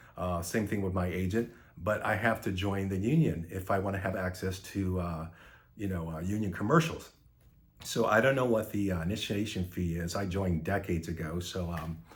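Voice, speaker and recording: A man's very deep, low voice, somewhat breathy, at a fairly quick pace with ordinary pitch variation and audible room echo. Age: 60s. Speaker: actor. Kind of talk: casual monologue. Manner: halting.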